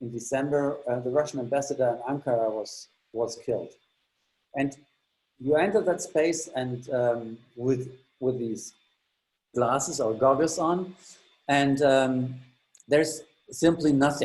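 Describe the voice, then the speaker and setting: A man with a German accent speaks at a fairly slow pace, with long, frequent pauses. His pitch is fairly high, with ordinary pitch variation. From Germany. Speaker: exhibition tour guide. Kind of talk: guided tour. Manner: halting, many fillers.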